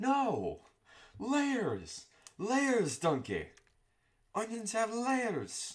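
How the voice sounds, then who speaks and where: A put-on character voice, fairly high in pitch, drags along at a very slow pace with long, frequent pauses. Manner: exasperated, emphatic.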